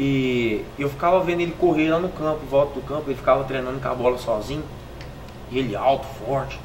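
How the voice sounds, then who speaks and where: Talking at a fairly quick pace, a man has a fairly high pitch. Audible room echo and noticeable background noise fill the recording. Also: ordinary pitch variation. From Pedregulho, São Paulo near Minas Gerais border. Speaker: professional footballer. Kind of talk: interview testimony.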